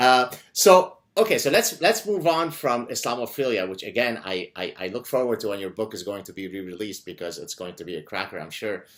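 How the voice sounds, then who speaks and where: With an animated tone and an Arabic accent, a man talks at a fairly quick pace, his pitch swinging very widely. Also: big swings in loudness, very clean recording, silent background. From Lebanon. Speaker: podcast host and professor. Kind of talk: interview conversation.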